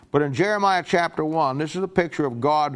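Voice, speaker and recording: An American-accented man's voice, its pitch variation ordinary. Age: 60s. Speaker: pastor. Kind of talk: bible teaching. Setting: church. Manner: halting.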